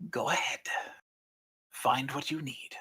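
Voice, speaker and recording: This man puts on a character voice. It is raspy and fairly high in pitch. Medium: actual play. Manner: unhurried, lordly.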